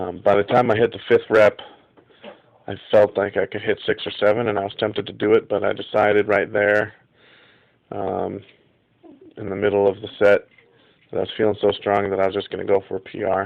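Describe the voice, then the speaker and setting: The pace is fairly quick, with long, frequent pauses. The intonation stays monotone and flat. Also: man, fairly low pitch for a man. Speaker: amateur powerlifter. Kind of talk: casual video log to camera. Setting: home, tablet recording. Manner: hesitant, many fillers.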